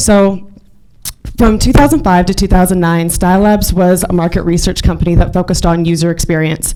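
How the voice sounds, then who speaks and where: A woman speaks at a fairly quick pace with fairly even intonation and a medium pitch. Noticeable background noise runs underneath. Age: young. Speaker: marketing executive and speaker. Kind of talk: business presentation.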